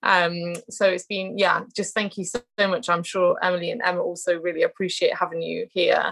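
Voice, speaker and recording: With a British accent, a woman speaks fairly quickly at a medium pitch, with fairly even intonation and hardly any pauses. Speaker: trainee educational psychologist and podcast host. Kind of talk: interview. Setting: video call.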